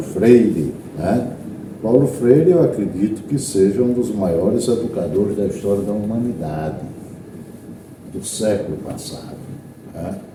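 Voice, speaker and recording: A man at a fairly slow pace, lively in intonation, with long, frequent pauses, audible room echo and noticeable background noise. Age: 60s. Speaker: teacher and radio broadcaster. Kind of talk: interview.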